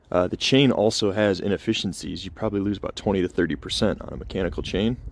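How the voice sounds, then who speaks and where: A man's fairly low-pitched voice with lively intonation in a dry sound with no echo. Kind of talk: tutorial. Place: street.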